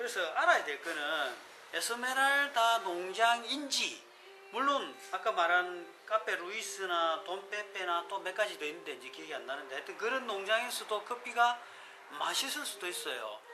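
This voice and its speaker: Over noticeable background noise, a man raises and projects his high-pitched voice, with big swings in loudness. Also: moderate pace. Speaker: coffee shop owner. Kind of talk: casual unedited talk about coffee. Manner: chatty, joking.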